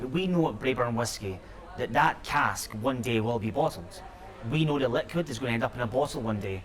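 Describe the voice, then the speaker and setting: With a Scottish accent, a man speaks with ordinary pitch variation over noticeable background noise. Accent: Scottish, clearly audible. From Scotland. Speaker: company executive. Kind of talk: interview. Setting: noisy sherry bar.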